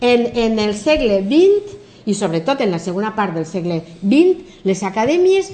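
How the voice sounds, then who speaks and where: A woman's pitch rises and falls in very wide swings while noticeable background noise carries on. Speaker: English professor and philologist. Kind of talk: TV interview. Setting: TV studio.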